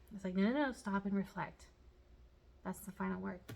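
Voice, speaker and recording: At a very fast pace, a woman speaks in a somewhat breathy voice of medium pitch. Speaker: tarot reader. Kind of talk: pick-a-card tarot reading. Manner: casual, chatty.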